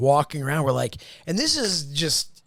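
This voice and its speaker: A man with a Philadelphia accent and lively intonation. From Philadelphia area, US. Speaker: podcast host. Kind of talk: casual chat.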